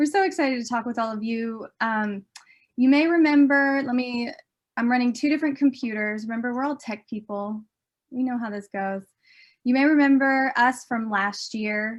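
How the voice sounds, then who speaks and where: In an American accent, a woman with a high pitch speaks at a moderate pace with ordinary pitch variation against a quiet background. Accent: Southern US, comes out sometimes. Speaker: documentary filmmaker. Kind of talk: conference presentation. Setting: virtual conference. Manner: animated.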